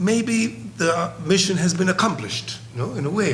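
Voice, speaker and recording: A man talks at a moderate pace. There is audible room echo along with noticeable background noise. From Colombia. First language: Spanish. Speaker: psychiatrist. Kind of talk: conference presentation. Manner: halting.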